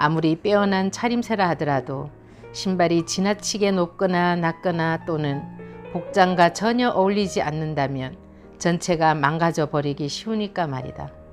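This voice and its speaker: Music plays behind a woman whose voice is fairly low. She talks at a moderate pace with ordinary pitch variation. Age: old. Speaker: essayist; rural cafe owner. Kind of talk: essay reading.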